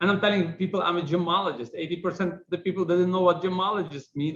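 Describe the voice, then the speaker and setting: A man with a strong non-native accent, at a very fast pace. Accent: heavy foreign accent, kept it. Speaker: business executive. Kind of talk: interview.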